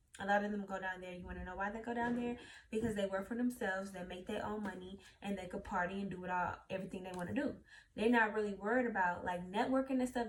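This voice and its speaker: With a Louisiana accent, a woman speaks very fast in a somewhat breathy voice with fairly even intonation. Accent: Southern US (Louisiana). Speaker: YouTuber. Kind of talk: casual vlog talk.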